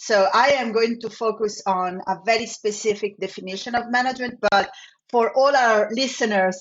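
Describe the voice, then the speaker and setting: With an Italian accent, a woman speaks in a fairly high pitch with fairly even intonation. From Italy. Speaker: business school professor. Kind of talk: podcast interview.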